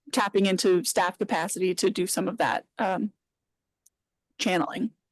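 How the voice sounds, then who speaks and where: A woman at medium pitch, fairly even in intonation, in a dry, close sound with no echo. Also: moderate pace. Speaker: city planning staff member. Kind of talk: public meeting discussion. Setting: meeting room with online participants. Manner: loud.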